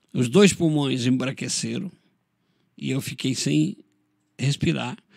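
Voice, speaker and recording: Very slowly, a man talks at a medium pitch with very wide pitch swings and vocal fry. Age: 60s. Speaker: pastor. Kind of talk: interview testimony.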